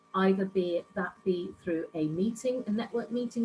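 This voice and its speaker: Music plays in the background as a woman speaks with ordinary pitch variation. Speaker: networking club founder, business speaker. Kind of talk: online workshop presentation. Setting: video call from home office.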